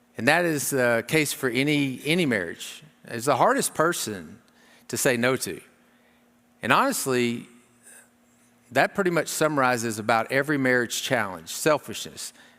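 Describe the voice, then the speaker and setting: Speaking at a moderate pace with long, frequent pauses, a man has a medium pitch, a bright, sharp tone, and lively intonation on a very clean recording with a silent background. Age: 60s. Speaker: marriage conference speaker. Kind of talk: sermon.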